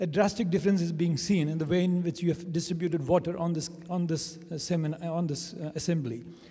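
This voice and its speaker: Very fast and with hardly any pauses, a man with a high pitch and a dark, mellow tone speaks with fairly even intonation amid audible room echo. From India. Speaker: conference attendee. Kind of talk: question from the floor at a conference. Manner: halting.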